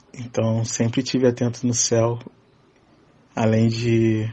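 A man's medium-pitched, somewhat breathy voice with monotone, flat intonation. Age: 20s. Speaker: podcast listener sharing UFO experiences. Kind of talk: personal testimony.

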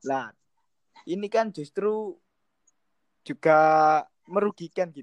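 A man's high-pitched, lively voice at a very slow pace, broken by long, frequent pauses, dry and close with no echo. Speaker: student discussion moderator. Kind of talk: student group discussion. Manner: casual.

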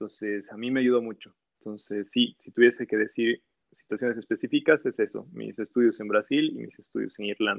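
Volume rises and falls sharply as a man speaks. He moves along fairly briskly. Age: 30s. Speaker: university program director and engineer. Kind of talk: casual interview. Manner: halting, with frequent repetitions.

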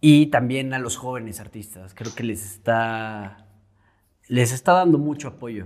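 A man with a central Mexican accent at a fairly slow pace, with big swings in loudness, on a very clean recording with a silent background. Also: medium pitch for a man, ordinary pitch variation. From Mexico, Querétaro. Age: 20s. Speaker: painter. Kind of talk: casual interview.

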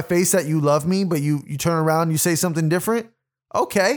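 On a very clean recording with a silent background, a high-pitched man talks at a fairly quick pace in an animated tone with ordinary pitch variation. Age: 20s. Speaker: podcast host and rapper. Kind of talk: solo monologue podcast.

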